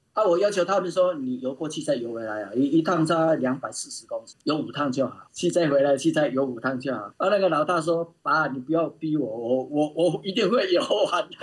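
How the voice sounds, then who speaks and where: A man speaks in a normal speaking voice at a fairly high pitch, with lively intonation. His pace is fairly quick, with hardly any pauses. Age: 60s. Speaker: open-water swimmer and swimming coach. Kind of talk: casual interview. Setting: remote call.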